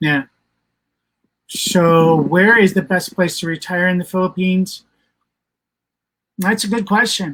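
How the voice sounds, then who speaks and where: A high-pitched man's voice with ordinary pitch variation. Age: 60s. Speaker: retired expat channel co-host. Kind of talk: casual live stream chat. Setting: Facebook live stream. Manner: halting, many fillers.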